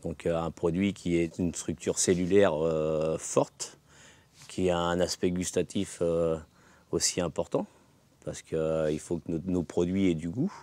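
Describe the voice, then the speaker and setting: The voice has a dark, mellow tone and a monotone, flat delivery at a fairly slow pace. The sound is dry, with no echo. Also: man, very deep, low pitch for a man. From Loire-Atlantique, France. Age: 50s. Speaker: vegetable farmer. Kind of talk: testimonial interview. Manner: hesitant with fillers. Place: farm.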